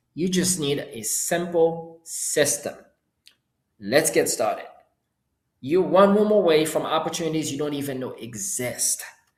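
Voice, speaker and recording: Speaking with a Haitian accent, a man with a high pitch uses an animated tone, ordinary pitch variation and big swings in loudness. His pace is fairly slow with long, frequent pauses, and audible room echo surrounds him. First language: Haitian Creole. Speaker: entrepreneur and course seller. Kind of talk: live webinar. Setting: live stream with chat.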